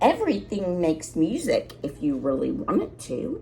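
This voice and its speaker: A woman's put-on character voice at a moderate pace, with clear background noise. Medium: read story. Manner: gentle, polite.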